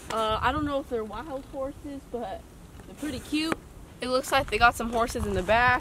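Noticeable background noise behind a woman speaking at a high pitch. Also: dry sound with no echo. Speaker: hiking vlogger. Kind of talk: casual vlog chat. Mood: playful, mock-dramatic. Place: open country.

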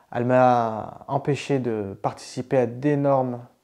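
Against a quiet background, a man talks at a medium pitch in a dark, mellow tone. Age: 30s. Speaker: painter and digital artist; interviewee. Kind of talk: interview monologue. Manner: halting, many repetitions and fillers. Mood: calm, pleased. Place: home room.

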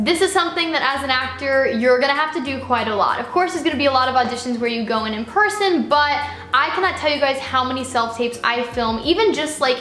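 A woman speaks at a very fast pace in a high voice, with hardly any pauses. Audible room echo surrounds her, and faint music plays in the background. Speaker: actor, vlogger. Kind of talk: casual vlog chat. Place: home room.

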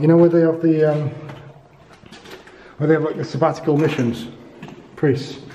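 This man talks fairly quickly while light background noise plays behind him. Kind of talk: casual vlog commentary. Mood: curious, cautious, hushed. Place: hall. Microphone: phone near.

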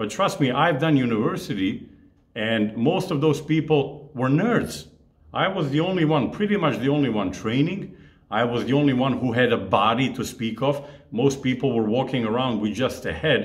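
A somewhat breathy male voice comes through against quiet surroundings. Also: moderate pace. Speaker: fitness coach. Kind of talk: casual vlog chat. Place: home room.

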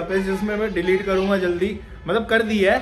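A high-pitched male voice, monotone and flat, at a moderate pace over faint background music. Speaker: gym owner vlogger. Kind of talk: casual vlog chat. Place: gym. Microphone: phone near.

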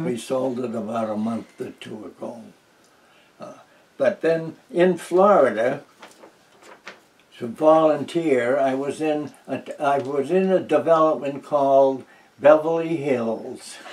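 A man with a New England accent speaks very slowly in a fairly high voice, with ordinary pitch variation and long, frequent pauses. His loudness swings widely. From New Hampshire. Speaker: retired teacher, war veteran. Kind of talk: oral history interview answer. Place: home room. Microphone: camera far.

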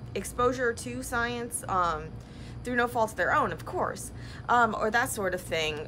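Light background noise sits behind a woman speaking at a moderate pace. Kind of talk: casual vlog chat. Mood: reflective, a bit sad. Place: workshop. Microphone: phone near.

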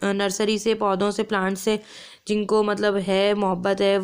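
The speaker is a woman. Little sound comes from behind her, as the background is quiet. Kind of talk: tutorial. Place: kitchen.

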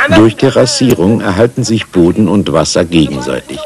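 Over noticeable background noise, a man with a very deep, low voice speaks with lively intonation. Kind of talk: interview testimony, dubbed German voice-over.

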